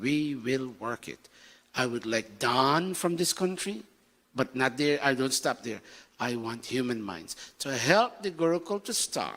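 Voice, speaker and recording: This man has an ordinary speaking voice at a medium pitch. He talks at a fairly slow pace with lively intonation. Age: 60s. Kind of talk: sermon.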